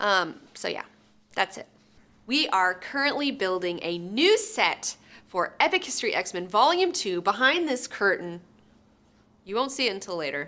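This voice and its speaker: A woman speaks in a bright, sharp tone with very wide pitch swings, leaving long, frequent pauses. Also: medium pitch for a woman, moderate pace. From US South, Alabama. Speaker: movie reviewer, channel host. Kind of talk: casual chat review. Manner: casual, conversational.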